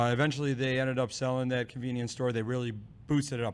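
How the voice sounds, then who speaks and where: Rattling along at a very fast pace, a man talks with a medium pitch. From born in former Yugoslavia, moved via Germany to Ohio as a child. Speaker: brewery owner. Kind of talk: casual chat. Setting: brewery production facility.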